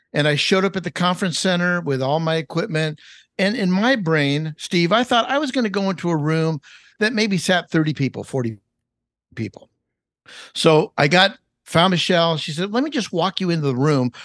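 With an American accent, a man speaks at a fairly quick pace, high-pitched and with lively intonation. The sound is dry and close with no echo, over a quiet background. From Los Angeles, California. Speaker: chef and cookbook author. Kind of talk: podcast interview.

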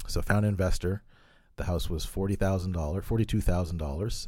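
A man's very deep, low voice, dark and mellow and somewhat breathy, with fairly even intonation at a very fast pace on a very clean recording with a silent background. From Halifax, Nova Scotia, Canada. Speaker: real estate investor and entrepreneur. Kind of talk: interview. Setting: studio.

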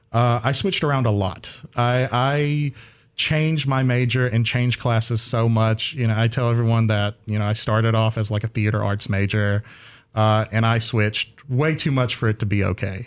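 A man with an American accent talks at a moderate pace in an ordinary speaking voice, medium in pitch, with fairly even intonation and very even loudness. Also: very clean recording, silent background. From US South, southeastern North Carolina. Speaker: graduate student, chemist. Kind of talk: casual interview. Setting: radio studio.

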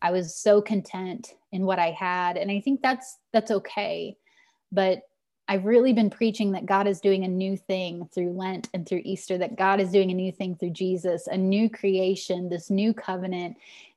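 On a very clean recording with a silent background, a woman with an ordinary speaking voice talks at a moderate pace, medium in pitch and fairly even in intonation. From Missouri, rural Ozarks. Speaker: pastor. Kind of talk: interview.

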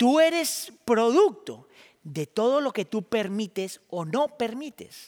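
A man's extremely high voice at a very slow pace, with very wide pitch swings and a dry, close sound with no echo. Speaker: pastor. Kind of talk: sermon.

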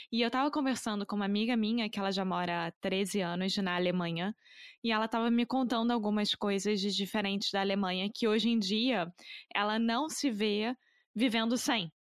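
Speaking at a fairly quick pace in a Carioca accent, a woman with a fairly high pitch keeps her loudness very even and her pitch variation ordinary, recorded dry and close with no echo. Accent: moderate Carioca. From Rio de Janeiro, Brazil. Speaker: podcast host, language teacher. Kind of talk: casual interview chat.

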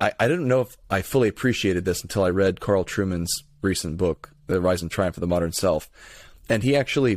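A man with an American accent and a plain, everyday voice speaks at a fairly low pitch and a moderate pace with ordinary pitch variation, on a very clean recording with a silent background and a dry, close sound with no echo. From Florida, Tampa area. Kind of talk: casual interview conversation.

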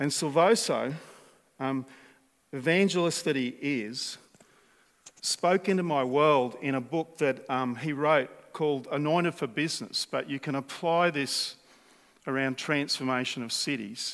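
Speaking with an Australian accent, a man with a fairly high pitch talks at a fairly slow pace, with ordinary pitch variation and long, frequent pauses. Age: 60s. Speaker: preacher. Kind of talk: sermon.

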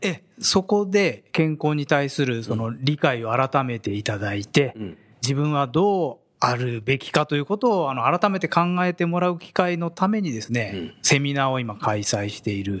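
A man talks at a moderate pace with hardly any pauses, his fairly high pitch moving in very wide swings. The recording is very clean, the background silent. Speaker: corporate HR manager. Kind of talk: radio interview. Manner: formal.

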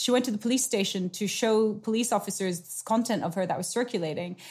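A woman's somewhat breathy voice, fairly high in pitch, with ordinary pitch variation and a fairly quick pace. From South Asia (Nepal). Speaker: author and consultant on technology and politics. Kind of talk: interview.

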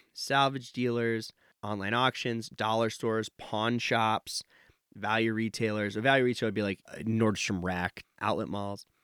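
In a very clean recording with a silent background and a dry, close sound with no echo, a man with an American accent speaks at a moderate pace in a medium pitch with monotone, flat intonation. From Nevada, US. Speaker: professor of supply chain management. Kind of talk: interview.

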